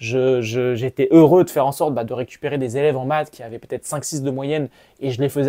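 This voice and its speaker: A dark, mellow tone with fairly even intonation, at a very fast pace. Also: man. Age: 20s. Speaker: maths teacher. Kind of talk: casual vlog monologue. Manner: hesitant, many fillers.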